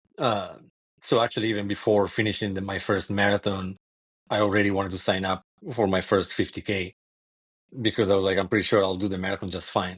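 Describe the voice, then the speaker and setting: The delivery is monotone and flat, with an Italian accent. The pace is very fast, broken by long, frequent pauses. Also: man, fairly low pitch for a man. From Italy. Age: 40s. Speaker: ultrarunner. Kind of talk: podcast interview.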